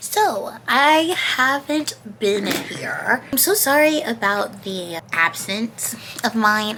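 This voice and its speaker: A woman's fairly high voice swings very widely in pitch, with noticeable background noise in the recording. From Georgia, USA. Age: 20s. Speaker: YouTuber. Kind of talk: casual storytime talk to camera.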